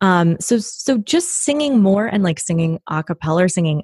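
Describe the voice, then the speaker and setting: A woman with an American accent sounds somewhat breathy, her pitch making very wide swings. The recording is very clean with a silent background, and the sound is dry and close with no echo. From US Pacific Northwest, Washington State near Tacoma. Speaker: actress, writer and voice teacher. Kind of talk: casual interview.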